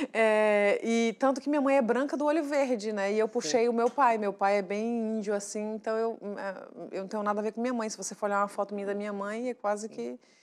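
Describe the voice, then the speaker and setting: In a plain, everyday voice, a woman speaks at a fairly high pitch with fairly even intonation. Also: fairly quick pace. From Brazil, northern Minas Gerais. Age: 30s. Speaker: TV show guest, mother and presenter-to-be; TV guest, presenter. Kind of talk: casual talk-show chat. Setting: TV studio. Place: studio. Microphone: lapel.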